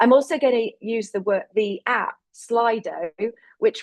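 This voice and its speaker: A woman with a strong English accent speaks at a moderate pace, the sound dry and close with no echo. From England, rural Lincolnshire. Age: 40s. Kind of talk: webinar presentation. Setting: virtual webinar. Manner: hesitant fillers.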